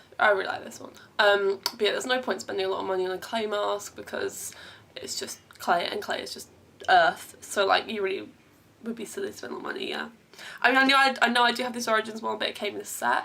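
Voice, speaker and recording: Someone with an English accent speaks at a very fast pace, with big swings in loudness. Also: woman. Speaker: beauty vlogger. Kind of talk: tutorial. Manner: casual chatty.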